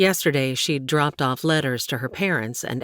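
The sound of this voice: The passage is delivered in an unforced reading voice.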